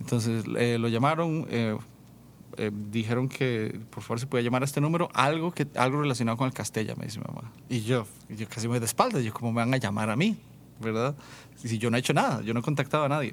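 A man's very fast speech at a medium pitch. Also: ordinary pitch variation. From Costa Rica, rural San Vito de Coto Brus. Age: 30s. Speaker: worship leader and musician. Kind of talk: casual interview testimony.

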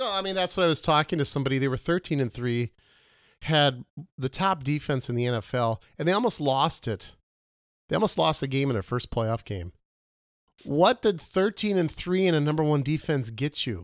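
The pace is fairly quick, with very wide pitch swings. The sound is dry and close with no echo, and the recording is very clean with a silent background. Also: man, fairly high pitch for a man. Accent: Upper Midwest. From Minnesota. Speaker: podcast co-host. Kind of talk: casual comedic chat. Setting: home studio barn.

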